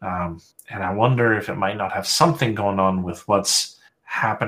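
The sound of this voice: In a quiet space, someone reads in an unforced voice.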